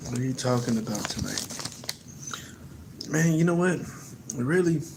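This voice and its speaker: A man with an American accent speaks at a moderate pace and fairly high pitch. Noticeable background noise and audible room echo are present. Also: ordinary pitch variation. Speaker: livestreamer. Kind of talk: casual livestream chat. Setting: late-night livestream. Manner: not loud.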